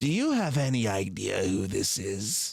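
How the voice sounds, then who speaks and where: Using a put-on character voice, a man sounds raspy. His pace is moderate and his pitch medium. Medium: actual play. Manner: smug, gloating.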